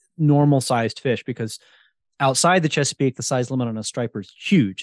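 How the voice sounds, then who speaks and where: Over a quiet background, a man talks at a fairly quick pace in a normal speaking voice, his medium pitch showing ordinary variation. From New Jersey. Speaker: podcast host and wild food cook. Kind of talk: casual interview chat.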